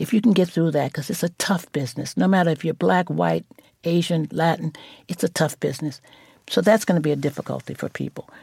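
A woman with a New York accent talks very fast in a fairly low, dark and mellow voice with vocal fry and ordinary pitch variation, recorded dry and close with no echo. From New York (Brooklyn). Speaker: former model and fashion advocate. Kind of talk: interview.

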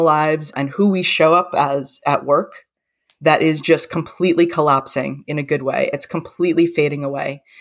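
On a very clean recording with a silent background, the speaker proceeds at a moderate pace. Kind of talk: casual interview chat.

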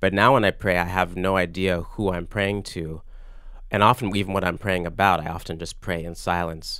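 Very deep and low in pitch, a man with an American accent speaks fairly quickly, his tone bright and sharp and his intonation fairly even. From US South, Virginia Beach. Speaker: composer and pianist. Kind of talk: casual interview. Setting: studio. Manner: halting.

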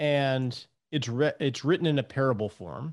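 In a normal speaking voice, a man talks at a moderate pace. The background is quiet. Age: 50s. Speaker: financial planner and podcast host. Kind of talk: interview. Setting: remote call.

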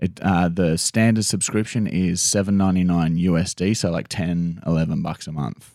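At a moderate pace with hardly any pauses, a man with an Australian accent speaks in a very deep, low pitch, his tone dark and mellow and his intonation fairly even. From Queensland, Australia (Toowoomba). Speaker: comedian and prankster. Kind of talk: casual chat.

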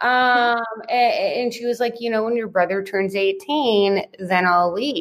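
A woman with an American accent has a normal speaking voice, fairly high in pitch, and talks at a fairly slow pace. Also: ordinary pitch variation. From US. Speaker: entrepreneur and podcast guest. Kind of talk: interview conversation.

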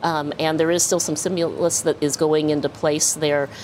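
A woman's very deep, low voice at a fairly quick pace against noticeable background noise. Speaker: bank research chief. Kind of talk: live TV interview. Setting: in-person studio.

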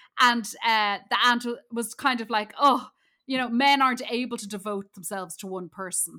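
With an Irish accent, a woman speaks at a moderate pace and a fairly high pitch in a bright, sharp tone, with ordinary pitch variation and big swings in loudness, in a very clean recording with a silent background. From Ireland. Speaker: comedian. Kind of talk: casual chat.

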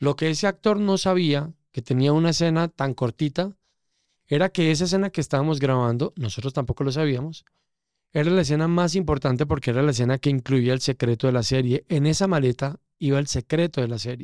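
Recorded very cleanly against a silent background with a dry, close sound and no echo, a man with a normal speaking voice talks at a fairly high pitch with ordinary pitch variation. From Colombia, coffee region (Pereira). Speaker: casting director. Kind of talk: interview conversation.

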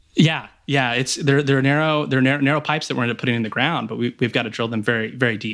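A man speaks at a medium pitch with an American accent. He talks very fast, with hardly any pauses. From rural Texas, near Waco. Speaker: geothermal company founder and former drilling engineer. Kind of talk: interview. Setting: remote recording from home, noise-blocking pillows. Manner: halting with frequent repetitions.

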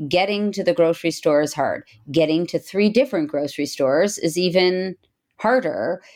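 A woman talks in a normal speaking voice at a fairly low pitch. Her pace is moderate. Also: ordinary pitch variation. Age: 40s. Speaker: breast surgeon and podcast host. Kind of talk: interview.

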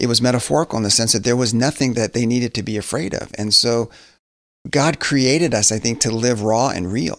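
A normal speaking voice at a fairly quick pace, with ordinary pitch variation, in a very clean recording with a silent background. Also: man, medium pitch for a man. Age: 50s. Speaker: pastor and author. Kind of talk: interview conversation. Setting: studio.

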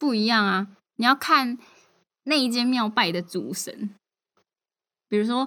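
Her tone is bright and sharp, with ordinary pitch variation. The woman speaks at a fairly slow pace on a very clean recording with a silent background. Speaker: podcast co-host. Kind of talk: casual chat.

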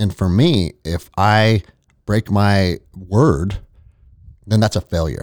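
With an American accent, a man with a fairly low pitch speaks at a very slow pace, using ordinary pitch variation and long, frequent pauses, in a dry, close sound with no echo. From United States. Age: 40s. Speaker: former army ranger and jiu-jitsu gym owner. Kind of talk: casual chat.

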